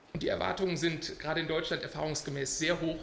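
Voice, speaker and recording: There is noticeable background noise and audible room echo as a man speaks at a fairly quick pace. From Scotland, Glasgow. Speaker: international law scholar. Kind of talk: lecture. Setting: conference panel with audience.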